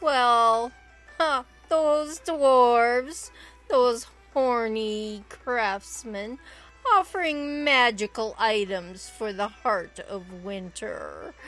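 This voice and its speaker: A female-sounding put-on character voice with a fairly high pitch moves at a very slow pace. Faint music plays in the background. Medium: actual play.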